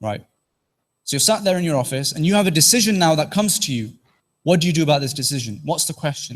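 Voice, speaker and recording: A man with a Teesside accent speaks at a very fast pace. His fairly high voice has lively intonation, and the recording is very clean with a silent background. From northeast England, Teesside. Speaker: trainee corporate lawyer and presenter. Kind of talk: interactive presentation to mosque audience.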